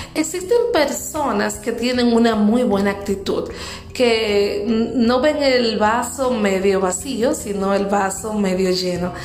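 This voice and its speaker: A woman with a fairly high pitch talks very slowly, her loudness very even and her pitch varying in an ordinary way, over noticeable background noise and audible room echo. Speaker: motivational podcast host. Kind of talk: motivational talk.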